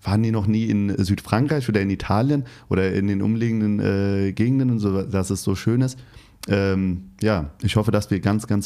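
A man with a slight Hessian accent, fairly low pitch, dark and mellow tone, fairly even intonation, very even loudness and a moderate pace, on a very clean recording with a silent background. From Hesse, Turkish-German family. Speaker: podcast host. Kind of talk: interview.

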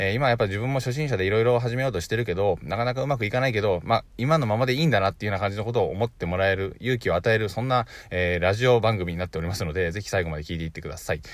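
A man speaks at a very fast pace with hardly any pauses, his pitch fairly low and its variation ordinary, on a very clean recording with a silent background. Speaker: online business podcaster. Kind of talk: solo podcast talk. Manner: stumbles over words often.

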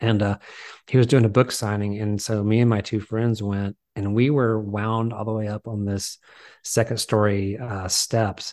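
A man with an American accent speaks at a moderate pace in a fairly low pitch. His intonation is monotone and flat over a quiet background. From US South, small town. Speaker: film writer-director. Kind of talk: casual interview chat.

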